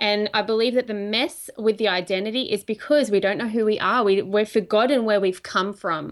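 In an Australian accent, a woman with a fairly high pitch talks at a fairly quick pace with fairly even intonation and hardly any pauses. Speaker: prophetic minister. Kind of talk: casual chat.

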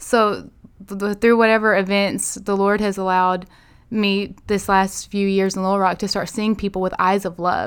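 A woman with an Arkansas accent speaks at a moderate pace in a flat monotone, on a very clean recording with a silent background. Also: medium pitch for a woman. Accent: Southern US (Arkansas). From US South, northeast Arkansas. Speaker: pastor's daughter and church minister. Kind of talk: casual chat.

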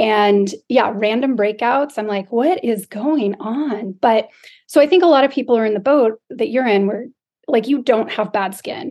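A woman speaks in a plain, everyday voice, fairly high in pitch. Her pace is moderate and her pitch variation is ordinary. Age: 40s. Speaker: podcast co-host. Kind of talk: casual chat.

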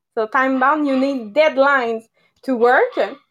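A high-pitched woman with a Quebec French accent and a bright, sharp tone. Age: 30s. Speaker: network marketer. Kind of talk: presentation on a live podcast. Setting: video call.

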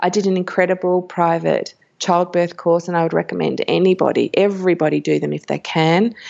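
Here is a woman with an Australian accent. Her pitch is fairly low and her pace moderate. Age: 40s. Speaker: birth educator and magazine editor. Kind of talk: interview.

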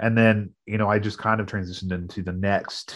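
Fairly low in pitch, a man speaks with an American accent. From US Midwest. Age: 30s. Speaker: pastor and podcast co-host. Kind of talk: casual conversation.

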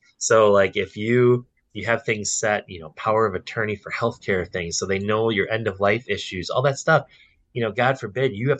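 A man's plain, everyday voice with an American accent, at a moderate pace with ordinary pitch variation. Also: quiet background. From Wisconsin, Milwaukee area. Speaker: financial advisor. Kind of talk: casual interview chat.

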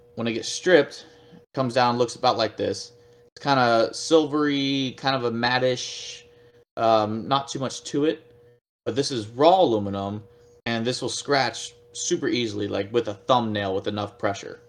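Using an unremarkable speaking voice, a man with an American accent talks at a moderate pace and medium pitch. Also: ordinary pitch variation. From Texas, Fort Worth. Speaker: pro paintball player and anodizing shop owner. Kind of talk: casual interview.

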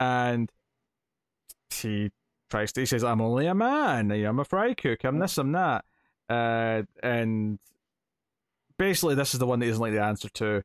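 In a Scottish accent, a man speaks at a moderate pace with ordinary pitch variation, very even loudness and long, frequent pauses, the sound dry and close with no echo. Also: medium pitch for a man, very clean recording, silent background. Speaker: podcast host. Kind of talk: casual chat.

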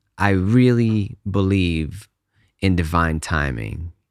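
In a very clean recording with a silent background, a man speaks very slowly with a very deep, low pitch and ordinary pitch variation. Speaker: podcast host and music composer. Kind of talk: solo podcast monologue, casual. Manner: slow talker; casual, friendly.

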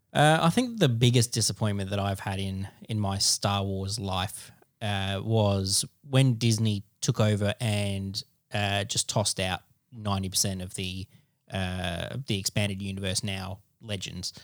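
On a very clean recording with a silent background, a man with an Australian accent talks at a fairly slow pace. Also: fairly low pitch for a man, fairly even intonation, dry, close sound with no echo. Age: 30s. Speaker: podcast co-host. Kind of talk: casual chat.

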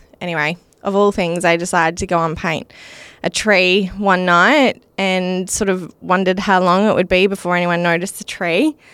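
With an Australian accent, a woman speaks at a medium pitch and fairly even intonation in a very clean recording with a silent background. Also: moderate pace. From Western Australia, Wheatbelt. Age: 30s. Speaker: mental health charity founder. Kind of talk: interview.

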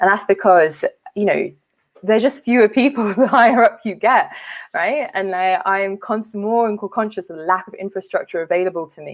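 A woman with a London accent, medium pitch, ordinary pitch variation and a moderate pace, with big swings in loudness. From West London. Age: 30s. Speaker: charity leader. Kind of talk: conference talk.

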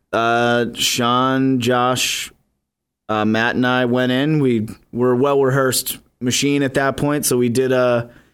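The recording is very clean with a silent background. A man speaks at medium pitch and a fairly slow pace, monotone and flat, with very even loudness. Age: 20s. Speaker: musician. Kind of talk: casual chat. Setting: studio.

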